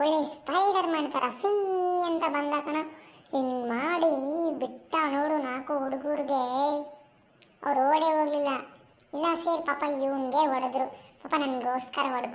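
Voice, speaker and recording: In a cartoonish character voice, a woman speaks high and fairly slowly with fairly even intonation. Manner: rambling, tells tall stories.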